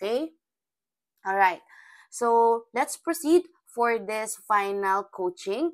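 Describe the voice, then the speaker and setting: A woman's voice with lively intonation. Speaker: criminology review lecturer. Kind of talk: lecture. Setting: screen recording on iPad, no camera.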